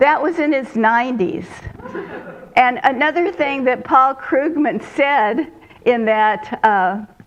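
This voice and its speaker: Over noticeable background noise, a woman speaks at a very slow pace. Her voice is high in pitch, with lively intonation. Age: 80s+. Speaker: retired minister. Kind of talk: sermon. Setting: church with congregation, streamed online.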